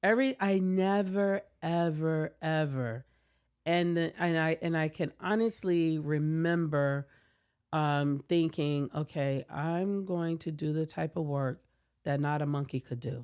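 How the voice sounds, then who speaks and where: A woman with an American accent speaks at a fairly slow pace in a very deep, low voice with ordinary pitch variation. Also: very clean recording, silent background. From US South, Savannah, Georgia. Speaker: tech company founder and CEO. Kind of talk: podcast interview.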